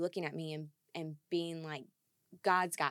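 A woman with a plain, everyday voice and fairly low pitch speaks at a moderate pace on a very clean recording with a silent background. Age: 30s. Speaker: widow sharing grief story. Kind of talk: interview conversation.

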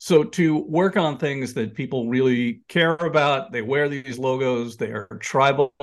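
Fairly high in pitch, this man's voice stands out. It is a plain, everyday voice. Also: quiet background. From New York area. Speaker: sports graphic designer and author. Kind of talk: casual interview.

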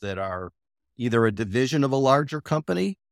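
A man's normal speaking voice at medium pitch and moderate pace, lively in intonation, on a very clean recording with a silent background. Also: dry, close sound with no echo. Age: 60s. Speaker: industrial real estate broker and investor. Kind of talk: interview. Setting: call.

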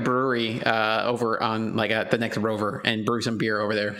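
A man's medium-pitched voice against noticeable background noise. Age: 30s. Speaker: podcast co-host. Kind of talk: casual chat.

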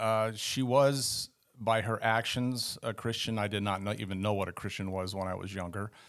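In a Californian accent, a man speaks at a moderate pace with a fairly low pitch and ordinary pitch variation. The recording is very clean, with a silent background. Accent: Californian American. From northern California. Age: 60s. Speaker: guest sharing conversion story. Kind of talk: testimony.

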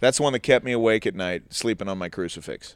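In a very clean recording with a silent background, a man speaks with an American accent. He has a plain, everyday voice and ordinary pitch variation. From US Midwest, St. Louis. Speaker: comedian. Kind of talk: casual chat. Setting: on a cruise ship.

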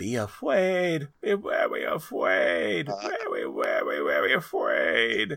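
A man's put-on character voice at a very slow pace. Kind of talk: theatrical. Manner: ominous, dramatic.

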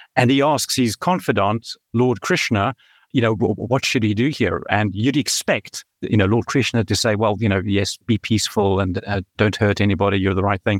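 A man with a South African accent at a fairly low pitch and moderate pace, very even in loudness, in a dry, close sound with no echo and a very clean recording with a silent background. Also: ordinary pitch variation. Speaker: tech startup founder and CEO. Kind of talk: podcast interview.

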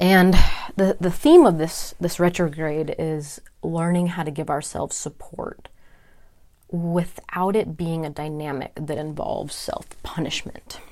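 A woman with an American accent speaks in a fairly low, dark, mellow voice. Her pace is fairly slow and her intonation fairly even. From California. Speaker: podcast host and holistic health coach. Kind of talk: personal monologue.

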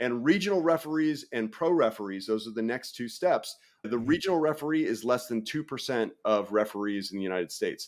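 A man with an unremarkable speaking voice at medium pitch, lively intonation, a fairly quick pace, hardly any pauses, and a very clean recording with a silent background. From US Northeast, New York City. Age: 40s. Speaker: referee and content creator. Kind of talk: casual chat.

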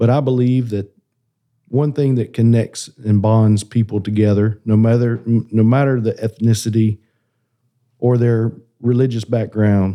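Against a quiet background, a man with a Southern US accent speaks at a moderate pace. His pitch is medium and his intonation fairly even. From South Carolina, small town. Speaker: connections pastor. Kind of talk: casual chat.

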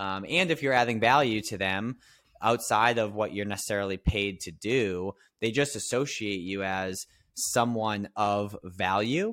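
A man talks in a normal speaking voice, fairly low in pitch with ordinary pitch variation. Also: fairly slow pace, very clean recording, silent background. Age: 30s. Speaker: business consultant. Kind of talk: casual interview.

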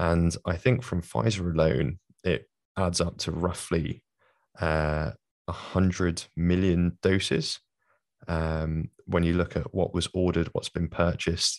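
A fairly slow London accent, dry and close with no echo, over a quiet background. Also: man, very deep, low pitch for a man. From London, England. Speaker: podcast host. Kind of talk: casual interview.

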